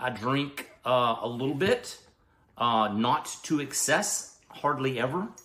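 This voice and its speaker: This man speaks with a Southern US accent. His voice is fairly high, and his intonation is lively. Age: 60s. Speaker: health and weight-loss vlogger. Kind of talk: casual vlog monologue.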